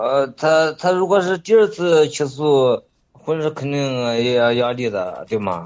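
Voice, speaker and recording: Very slowly and with very wide pitch swings, a man speaks at a fairly high pitch. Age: middle-aged. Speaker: caller with advice question. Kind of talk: call-in advice conversation. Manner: halting.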